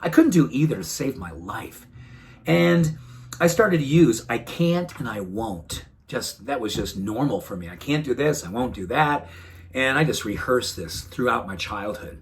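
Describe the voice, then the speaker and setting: A man's medium-pitched voice with vocal fry, very wide pitch swings, big swings in loudness and a moderate pace. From New England. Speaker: wellness doctor. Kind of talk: motivational talk to camera. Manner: warm, earnest.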